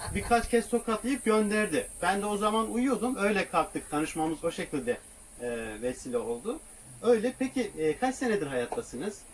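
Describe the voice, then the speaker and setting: Amid noticeable background noise, a man speaks at a moderate pace with a high pitch. His pitch makes very wide swings. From southeastern Turkey. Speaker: travel vlogger living in a camper van. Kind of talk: casual interview.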